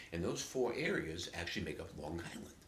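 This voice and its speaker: A man talks with a somewhat breathy voice. Room echo is audible. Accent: New York. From New York City, Queens (Flushing). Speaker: native dialect sample speaker. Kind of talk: casual storytelling monologue.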